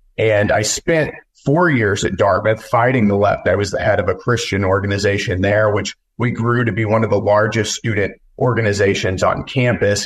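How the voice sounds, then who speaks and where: A man with an American accent speaks at a fairly low pitch and a fairly quick pace, somewhat breathy, with ordinary pitch variation. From West Texas. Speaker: congressional candidate and news publisher. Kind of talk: interview.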